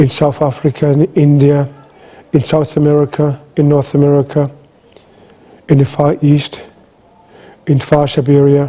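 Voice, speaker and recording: A man with a somewhat breathy, dark, mellow tone speaks at a fairly high pitch and a moderate pace. His intonation stays monotone and flat, his loudness very even, with long, frequent pauses. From Greenland. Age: 60s. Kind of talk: talk.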